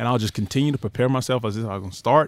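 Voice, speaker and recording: In a very clean recording with a silent background and a dry, close sound without echo, a man talks with a Southern US accent. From northern Florida. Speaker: former college quarterback and football coach. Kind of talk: casual interview chat. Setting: recording studio.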